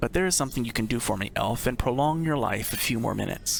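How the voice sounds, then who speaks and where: Putting on a character voice at medium pitch, a man talks at a very fast pace over clear background noise. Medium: solo performance. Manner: menacing, lordly.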